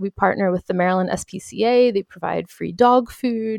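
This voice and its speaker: A woman with an unremarkable speaking voice talks at a moderate pace and medium pitch, with ordinary pitch variation. The recording is dry and close with no echo, and the background is quiet. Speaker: podcaster and entrepreneur. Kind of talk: casual interview.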